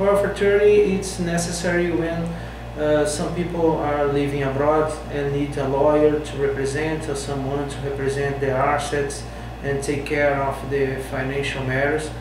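A man with a Portuguese accent speaks at a moderate pace with fairly high pitch and fairly even intonation, over noticeable background noise and audible room echo. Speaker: lawyer. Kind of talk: self-interview Q&A promo. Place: office.

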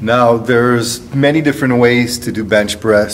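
Light background noise sits behind a man speaking at a moderate pace with fairly even intonation. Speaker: strength coach. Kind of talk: tutorial. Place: gym. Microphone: phone near.

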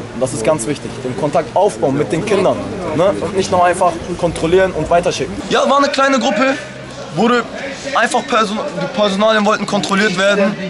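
Over crowd noise in the background, a man with a high voice talks at a fairly quick pace, broken by long, frequent pauses. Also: lively intonation. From Germany, Hamburg, Turkish family. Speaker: local resident, witness. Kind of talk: street interview. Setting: outdoors. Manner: agitated. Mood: upset, indignant. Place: street. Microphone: phone near.

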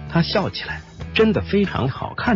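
Over music in the background, a man's voice moves through very wide pitch swings. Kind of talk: celebrity gossip narration.

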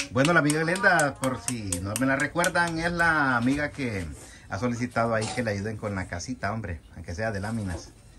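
Background noise is clearly present. Through it, a man talks at an average speed. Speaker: vlogger. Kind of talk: casual vlog chat. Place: kitchen. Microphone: phone near.

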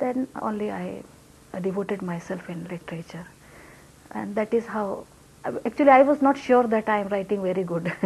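A woman speaks with a Hindi accent and ordinary pitch variation. Light background noise is present. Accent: Hindi-accented Malayalam. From Rajasthan, India. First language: Hindi (speaking Malayalam). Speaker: poet and translator; poet. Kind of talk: interview. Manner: halting, mixes English and Malayalam. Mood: calm, reflective. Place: home room.

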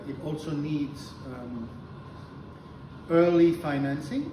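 A man talks with noticeable noise in the background. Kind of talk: interview answer. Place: meeting room. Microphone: camera far.

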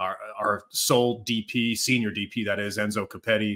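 The background stays quiet. A man talks with a bright, sharp tone. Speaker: soccer podcast host. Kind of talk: casual sports podcast chat. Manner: upbeat. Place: home room.

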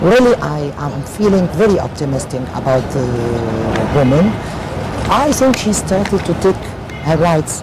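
Loud background noise sits under the voice. The pace is moderate, with long, frequent pauses. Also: woman. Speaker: interview guest. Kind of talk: interview answer. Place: boat. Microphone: lapel.

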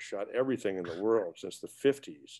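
A man with an American accent and ordinary pitch variation, over a quiet background. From US Midwest, eastern Nebraska. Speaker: retired rock guitarist; guest. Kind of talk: interview. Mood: relaxed reflective. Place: home room. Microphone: webcam.

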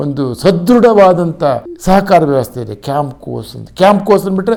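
A man speaks in a dark, mellow tone at a fairly high pitch, his voice swinging very widely up and down. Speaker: agricultural scientist, former farm price commission chair. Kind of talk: expert commentary monologue. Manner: halting, many pauses.

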